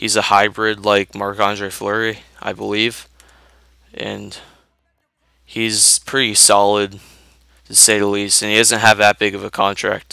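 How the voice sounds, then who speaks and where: Fairly low pitch from a man, at a fairly slow pace with long, frequent pauses and monotone, flat intonation. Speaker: gaming YouTuber. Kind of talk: gameplay commentary.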